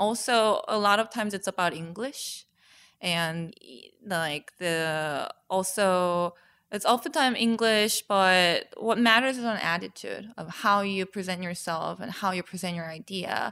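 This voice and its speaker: In a very clean recording with a silent background, a woman with a Korean accent speaks at medium pitch in a bright, sharp tone, with big swings in loudness. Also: ordinary pitch variation, fairly slow pace. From South Korea. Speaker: painter. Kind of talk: casual interview. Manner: halting.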